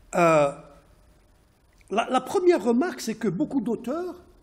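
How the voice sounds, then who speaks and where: This man talks at an extremely high pitch for a man, with very wide pitch swings. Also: long, frequent pauses. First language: not French (speaking French). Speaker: sociologist and economist researcher. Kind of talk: academic presentation. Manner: halting, many hesitations and repetitions.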